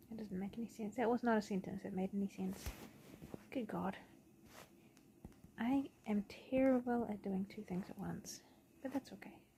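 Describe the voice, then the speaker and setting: Pausing long and often, a woman of medium pitch speaks at a moderate pace in a somewhat breathy, dark, mellow voice with fairly even intonation. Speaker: digital artist streamer. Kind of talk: casual painting commentary. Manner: halting.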